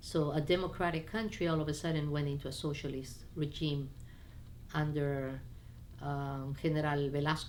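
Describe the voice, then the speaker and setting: With audible room echo, a woman speaks at a moderate pace with a very deep, low pitch and fairly even intonation. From Peru, Lima, raised by Chinese (Cantonese) parents. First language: Spanish (also Chinese). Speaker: immigrant sharing life story. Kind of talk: personal life story interview. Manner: casual with hesitations and fillers.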